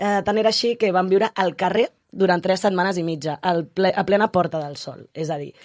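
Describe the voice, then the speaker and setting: This is a plain, everyday voice at a moderate pace. It shows ordinary pitch variation. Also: woman. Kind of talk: casual conversation.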